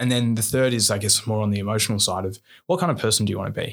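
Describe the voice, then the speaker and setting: A man's fairly low voice keeps a fairly even intonation. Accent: Australian. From Australia, New South Wales. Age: 20s. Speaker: engineer and social entrepreneur, army reservist. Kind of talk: candid podcast interview. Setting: studio.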